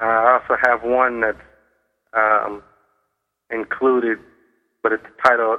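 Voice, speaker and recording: In an American accent, a man speaks at a medium pitch and fairly slow pace with monotone, flat intonation. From US Midwest, Cleveland, Ohio. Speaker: novelist. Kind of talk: radio interview.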